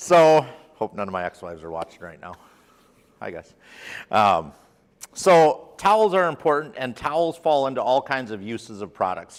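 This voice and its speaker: On a very clean recording with a silent background, a man speaks at a fairly quick pace. His pitch swings very widely. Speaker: product trainer. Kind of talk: lecture. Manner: loud.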